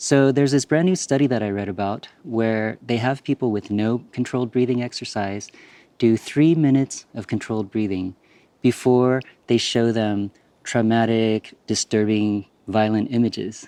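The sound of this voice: Soft-spoken at a fairly slow pace, a man talks with a dark, mellow tone and a fairly low pitch. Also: ordinary pitch variation.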